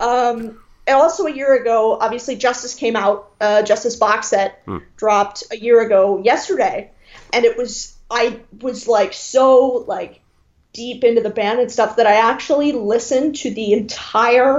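A woman with a Michigan accent talks at a fairly slow pace, her fairly high pitch held to fairly even intonation. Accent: US Midwest (Michigan). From Detroit, Michigan. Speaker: music fan. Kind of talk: casual chat.

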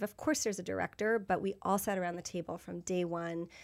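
A woman with a normal speaking voice talks at a fairly quick pace in a fairly low pitch. Her intonation is fairly even, on a very clean recording with a silent background. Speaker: actress and dancer. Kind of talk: casual interview chat. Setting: studio.

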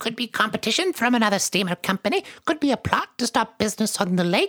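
A man performs in a put-on character voice. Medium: read story. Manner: brisk, commanding.

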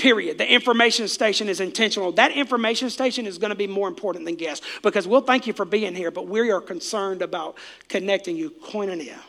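Loud, very fast speech in a bright, sharp tone, with ordinary pitch variation and hardly any pauses. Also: man, high pitch for a man. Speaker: pastor. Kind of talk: sermon. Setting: church with live audience.

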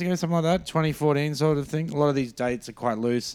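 Recorded very cleanly against a silent background, a man with an Australian accent talks at a fairly high pitch with ordinary pitch variation. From Brisbane, Australia. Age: 30s. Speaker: comedian and podcast co-host. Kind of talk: casual chat.

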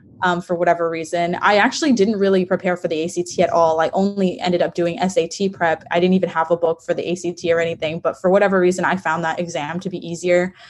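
Very fast, monotone speech from a woman with a fairly low pitch, amid noticeable background noise. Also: hardly any pauses. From Texas. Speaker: college student. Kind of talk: interview. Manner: hesitant, many fillers.

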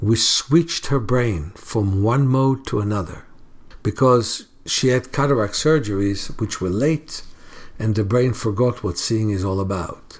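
A man speaks at a medium pitch and a fairly slow pace with ordinary pitch variation in a plain, everyday voice, on a very clean recording with a silent background. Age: 60s. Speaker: self-healing teacher. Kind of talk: casual monologue; sales pitch.

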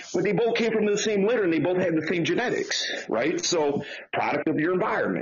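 A man's high-pitched, very fast delivery with ordinary pitch variation and very even loudness, in audible room echo and noticeable background noise. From Detroit, Michigan. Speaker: dating and life coach. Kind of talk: interview.

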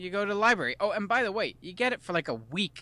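A man's raised, projected voice, bright and sharp in tone, on a very clean recording with a silent background. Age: 30s. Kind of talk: casual chat.

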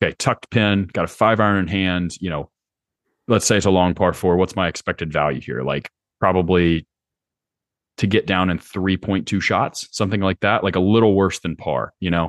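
A man's very deep, low voice in an American accent, at a moderate pace with ordinary pitch variation. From US South, Charlotte, North Carolina. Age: 20s. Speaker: golfer and podcast host. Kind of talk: casual interview conversation.

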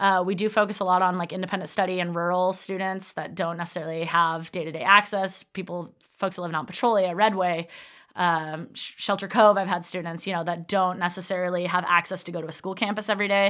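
In a very clean recording with a silent background, a woman with an American accent talks very fast at a medium pitch, her tone bright and sharp and her intonation monotone and flat. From northern California, Humboldt County. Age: 20s. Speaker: history teacher and city council candidate. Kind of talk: casual interview.

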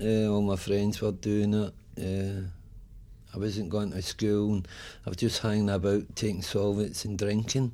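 A man speaks in a fairly low, dark, mellow voice. His delivery is monotone and flat at a moderate pace. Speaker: recovering addict, former homeless tenant. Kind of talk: testimony. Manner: natural, relaxed delivery.

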